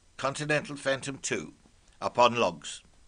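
Slow-paced and fairly high for a man, his voice has a bright, sharp tone with vocal fry. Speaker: club talk presenter. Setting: talk to club audience. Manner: formal; wry, dry-witted.

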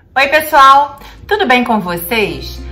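A woman speaks with faint music in the background. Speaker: cooking channel host. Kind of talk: casual vlog chat. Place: kitchen. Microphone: phone near.

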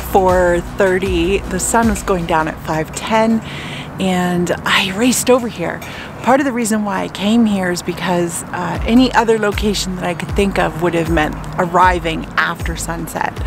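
A woman talks at a fairly slow pace in a fairly low pitch with ordinary pitch variation. The sound is dry with no echo, though background noise is noticeable. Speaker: photographer vlogger. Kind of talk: casual vlog chat. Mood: relieved, happy, reflective. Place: open country. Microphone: phone near.

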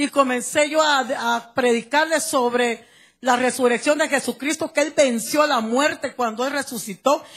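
In a Guatemalan accent, a woman speaks at a fairly slow pace with high pitch and fairly even intonation against a quiet background. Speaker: church member giving testimony. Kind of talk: testimony. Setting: church service, handheld microphone. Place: church. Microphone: handheld.

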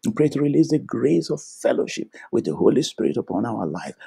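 A man at a fairly quick pace, in dry sound with no echo against a quiet background. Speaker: preacher and prayer teacher. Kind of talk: fervent intercessory prayer, led aloud with Amens. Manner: fervent, declarative, commanding; rhythmic, repeating 'Thank you, Lord' and 'in the name of Jesus'. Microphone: video call.

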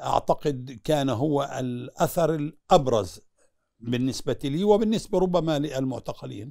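Over a quiet background, a man with a fairly high pitch and a dark, mellow tone speaks at a fairly slow pace with lively intonation. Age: 70s. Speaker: former prisoner. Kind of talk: interview. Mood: earnest, recounting prison hardship. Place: home room. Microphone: lapel.

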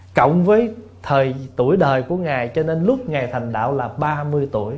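At a fairly slow pace, a man speaks in a somewhat breathy voice with lively intonation. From southern Vietnam. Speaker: Buddhist monk; monk teacher. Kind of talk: dharma talk answering questions. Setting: temple hall with audience. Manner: humorous. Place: hall. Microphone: podium.

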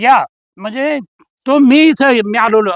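The sound is dry and close, with no echo. The voice shows ordinary pitch variation. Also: man. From Maharashtra, Aurangabad district. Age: 70s. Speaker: natural farmer. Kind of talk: casual chat.

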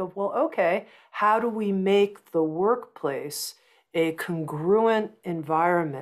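The background is quiet. A woman speaks with lively intonation. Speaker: publishing company founder. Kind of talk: interview conversation. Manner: slow, calm. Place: home room. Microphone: earbuds.

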